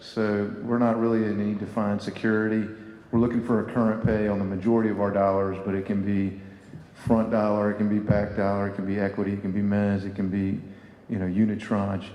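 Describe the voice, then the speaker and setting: Amid audible room echo and noticeable background noise, a man with a Southern US accent speaks at a moderate pace with a fairly low pitch. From US South. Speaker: private equity investor panelist. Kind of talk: conference panel discussion.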